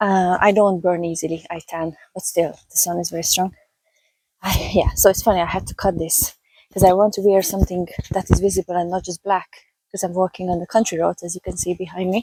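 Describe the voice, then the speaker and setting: With a Hungarian accent, a woman speaks fairly quickly at a medium pitch in a monotone, flat intonation, her loudness swinging widely in a dry, close sound with no echo. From Hungary, raised in Budapest. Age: 30s. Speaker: vlogger and health coach. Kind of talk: casual walking vlog. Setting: outdoors on a country road. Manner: casual, chatty.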